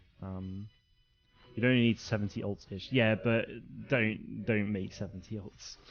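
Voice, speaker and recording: Over music in the background, a man with a fairly low pitch speaks in a monotone, flat intonation at a fairly slow pace, with long, frequent pauses and big swings in loudness. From England. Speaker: gaming streamer. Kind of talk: live stream commentary. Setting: home live stream at night. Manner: casual, filler-heavy.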